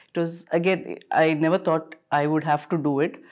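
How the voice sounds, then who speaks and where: With a very deep, low pitch and fairly even intonation, a woman speaks on a very clean recording with a silent background. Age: 40s. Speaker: doctor sharing personal egg freezing experience. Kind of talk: interview testimony. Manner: hesitant, many fillers.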